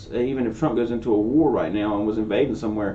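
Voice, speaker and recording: A man talks at a very fast pace at a medium pitch. Audible room echo fills the recording. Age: 20s. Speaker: political commentary youtuber. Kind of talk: casual commentary reacting to a video. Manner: casual, conversational.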